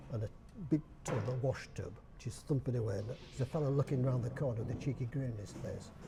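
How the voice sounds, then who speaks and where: With a Yorkshire accent, a man talks fairly quickly in a dark, mellow, medium-pitched voice with vocal fry and ordinary pitch variation. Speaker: dialect society chairman. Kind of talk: interview answer.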